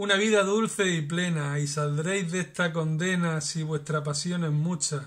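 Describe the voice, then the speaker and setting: The voice has a warm tone and a sing-song quality, with ordinary pitch variation. It moves at a fairly slow pace against a quiet background. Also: man. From La Unión, Murcia, Spain. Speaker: trovo poet and flamenco artist. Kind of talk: poet reading improvised verse aloud. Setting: home video message. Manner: rhythmic, sing-song verse delivery with rhymes, warm and earnest. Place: home room. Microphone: phone near.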